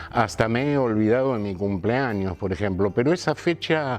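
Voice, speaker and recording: A man talks with a fairly low pitch and ordinary pitch variation. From Argentina, Buenos Aires area (Morón). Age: 60s. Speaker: actor and theatre teacher. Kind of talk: interview.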